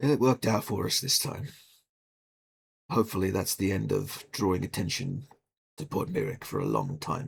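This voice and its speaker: A raspy, put-on character voice moves at a moderate pace with very wide pitch swings and long, frequent pauses. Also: man, medium pitch for a man. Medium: actual play. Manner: dry, measured.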